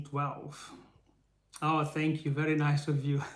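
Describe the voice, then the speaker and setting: This man talks at a very slow pace with an Israeli-free, Brazilian accent. His pitch is fairly high for a man, and his voice is somewhat breathy. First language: Portuguese. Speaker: faith-based motivational speaker. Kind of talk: live stream teaching. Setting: live stream. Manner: halting.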